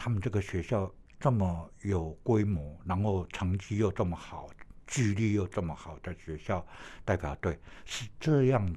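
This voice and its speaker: Over a silent background in a very clean recording, a man speaks in a dark, mellow tone that is somewhat breathy, with ordinary pitch variation. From Taiwan, Puli (Nantou). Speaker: retired athletics coach and PE teacher. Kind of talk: interview. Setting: studio. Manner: halting, many fillers.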